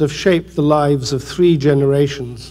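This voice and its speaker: A man speaks with a British accent. Noticeable background noise can be heard. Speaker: British television producer. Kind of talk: award acceptance speech.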